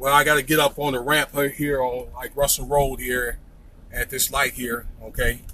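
A man speaks at a moderate pace, the sound dry with no echo but with noticeable background noise. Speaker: local vlogger filming while driving. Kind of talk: casual vlog commentary. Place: car. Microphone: phone near.

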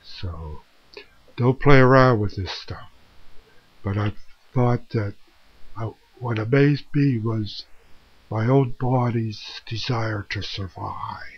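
A somewhat breathy man speaks at a very slow pace and medium pitch, with ordinary pitch variation, big swings in loudness, and long, frequent pauses. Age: 70s. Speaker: vlogger sharing life experience. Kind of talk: personal monologue to camera. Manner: slow, hesitant. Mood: earnest, reflective. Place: home room. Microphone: webcam.

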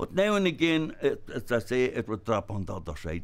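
This man speaks with a Donegal accent. His pitch swings very widely. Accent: Ulster Irish (Donegal). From Ireland, Inishowen / Donegal border area. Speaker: traditional storyteller. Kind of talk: elder's humorous folk-tale storytelling, voicing characters in dialect. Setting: stage with live audience at a festival. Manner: leisurely, wry, chuckling at his own jokes; drawn-out dialogue with frequent 'says he' tags. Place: hall.

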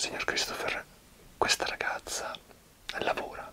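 A man is whispering. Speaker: interviewer or host addressing a guest. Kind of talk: conversational interview talk in Italian. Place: home room. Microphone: webcam.

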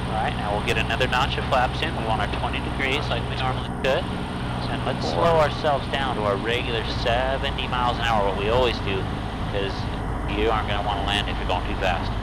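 Very fast speech from a man comes through a dry sound with no echo, over loud background noise. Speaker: flight instructor. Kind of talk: in-flight instruction. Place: plane. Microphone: headset.

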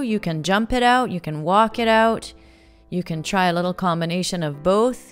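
A woman speaks at a moderate pace. Faint music plays behind her. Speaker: fitness instructor. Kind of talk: workout instruction. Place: garden.

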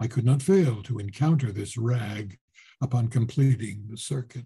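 Speaking at a fairly slow pace with ordinary pitch variation, a man has a dark, mellow tone that is somewhat breathy, against a quiet background. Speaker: voice actor. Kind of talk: audiobook reading of a horror short story. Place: home room. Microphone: webcam.

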